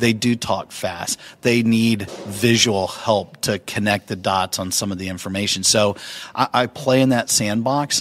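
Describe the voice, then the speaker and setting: Noticeable background noise sits behind speech that moves at a fairly slow pace with fairly even intonation. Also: man, fairly low pitch for a man. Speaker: keynote speaker and author. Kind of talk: interview.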